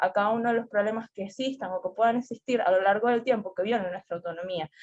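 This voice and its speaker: Fairly quick speech with fairly even intonation. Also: woman. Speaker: student representative. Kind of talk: debate. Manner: fast.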